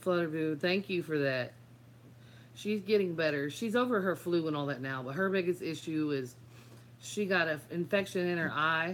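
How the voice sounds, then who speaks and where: A woman speaks at a moderate pace in a very deep, low voice with lively intonation. Her pauses are long and frequent. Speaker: YouTuber. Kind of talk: live stream chat. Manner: stutters a little when nervous.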